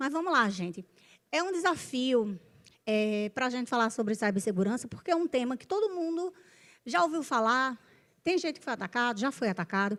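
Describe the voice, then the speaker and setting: A woman's high voice with very wide pitch swings and big swings in loudness, in a very clean recording with a silent background. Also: moderate pace. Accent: northeastern Brazilian. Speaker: panel moderator, business executive. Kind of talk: panel discussion moderation. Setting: stage with audience.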